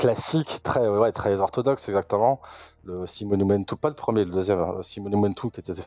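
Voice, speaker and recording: A man's fairly low pitch in a plain, everyday voice, with ordinary pitch variation and a moderate pace. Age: 40s. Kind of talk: interview.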